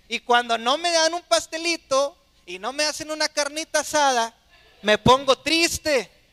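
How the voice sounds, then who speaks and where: In a dry, close recording with no echo, a man with an extremely high pitch and a bright, sharp tone uses a raised, projected voice at a fairly slow pace, with ordinary pitch variation. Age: 30s. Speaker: pastor. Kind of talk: sermon.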